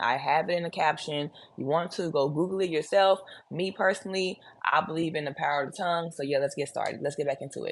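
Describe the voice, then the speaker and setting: Talking at a very fast pace with a Texas accent, a woman uses a fairly low pitch against a quiet background. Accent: deep Texas Southern. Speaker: religious commentary vlogger. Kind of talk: casual video commentary. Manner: casual, chatty.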